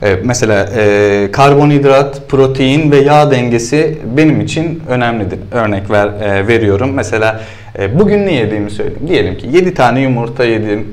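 With hardly any pauses, a man with a plain, everyday voice talks at a moderate pace and lively intonation. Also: medium pitch for a man. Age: 30s. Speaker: CrossFit athlete. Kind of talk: interview. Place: gym.

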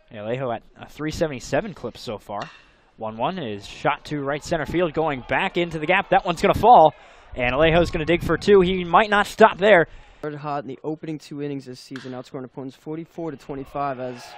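A man shouting at a fairly quick pace, fairly high-pitched, with lively intonation and big swings in loudness, in a dry, echo-free sound over light background noise. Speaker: play-by-play announcer. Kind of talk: live baseball play-by-play commentary over highlight clips. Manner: rising-and-falling energy, shouting at big plays. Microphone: headset.

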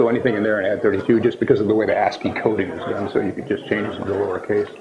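A man speaks over noticeable background noise. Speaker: presenter. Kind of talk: technical talk. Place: hall. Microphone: camera far.

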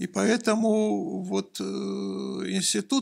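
A man is speaking. The background is quiet. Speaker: engineering professor. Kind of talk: interview. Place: office. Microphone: studio mic.

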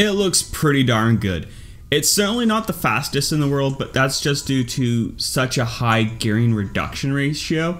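This man talks at a moderate pace. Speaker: maker youtuber. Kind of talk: casual vlog tutorial.

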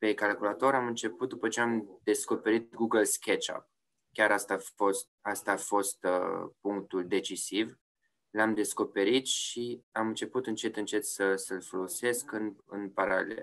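Here a man speaks at a fairly slow pace. His pitch is fairly low and his intonation fairly even. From Romania, Oradea. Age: 30s. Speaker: yacht insurance sales executive and designer. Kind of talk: interview. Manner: hesitant, many fillers and repetitions.

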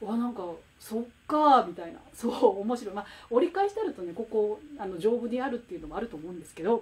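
A woman talks at a very fast pace with a fairly high pitch. Her intonation is lively, and her loudness swings widely. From Japan. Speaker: picture book author and watercolor artist hosting a livestream; host of a poetry talk livestream. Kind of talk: casual livestream talk about classical poetry. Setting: livestream with live comments. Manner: animated, stumbling with fillers. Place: home room. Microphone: phone near.

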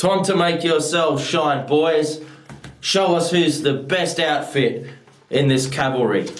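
Audible room echo surrounds a man's voice. He speaks at a fairly slow pace with very even loudness and ordinary pitch variation. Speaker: actor at an audition. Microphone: webcam.

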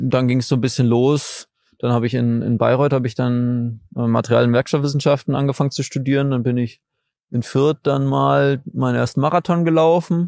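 Over a quiet background, a man talks with very even loudness and fairly even intonation. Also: medium pitch for a man, moderate pace. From Saxony, Dresden. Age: 20s. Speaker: trail runner. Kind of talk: casual interview. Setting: outdoors by a lake.

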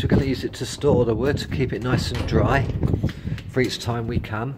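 Through loud background noise, a man talks at a moderate pace. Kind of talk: casual vlog chat. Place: garden. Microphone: phone near.

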